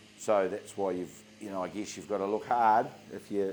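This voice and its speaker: This man talks at a fairly quick pace with a New Zealand accent. His fairly low voice stays monotone, with flat intonation. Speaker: contracting business owner. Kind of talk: interview. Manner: halting.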